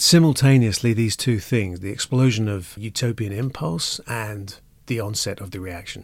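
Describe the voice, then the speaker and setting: On a very clean recording with a silent background, a man with an ordinary speaking voice speaks at a moderate pace and a fairly low pitch, with ordinary pitch variation and big swings in loudness. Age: 50s. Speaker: urban design and architecture expert. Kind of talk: interview discussion.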